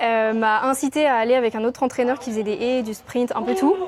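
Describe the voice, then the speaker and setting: Fairly high in pitch, a woman talks at a fairly quick pace with ordinary pitch variation. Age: 20s. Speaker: athlete. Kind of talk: interview. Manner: casual, with many hesitations.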